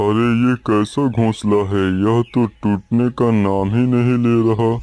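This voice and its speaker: A cartoonish character voice from a man, medium in pitch, with a flat, monotone delivery. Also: fairly slow pace. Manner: gruff, threatening, bossy.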